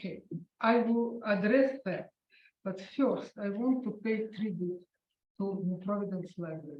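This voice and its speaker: A woman with a Russian accent speaks at a medium pitch, somewhat breathy, with ordinary pitch variation. Her pace is fairly slow, with long, frequent pauses. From Ukraine. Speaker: author and concert pianist. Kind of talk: author talk interview. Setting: library event with audience. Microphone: held too far from mouth, hard to hear.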